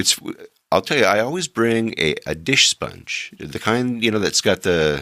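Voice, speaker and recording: Dry and close with no echo, this very clean recording with a silent background captures a man of medium pitch with a bright, sharp tone and very wide pitch swings. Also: fairly slow pace. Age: 60s. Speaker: travel podcast host. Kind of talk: casual monologue. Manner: halting, many filler words.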